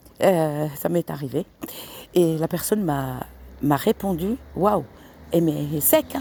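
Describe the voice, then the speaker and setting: Very slowly, a woman with a very deep, low pitch speaks with ordinary pitch variation, big swings in loudness, and long, frequent pauses. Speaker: tarot card reader vlogger. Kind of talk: casual vlog monologue. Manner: halting, many hesitations; soft-spoken.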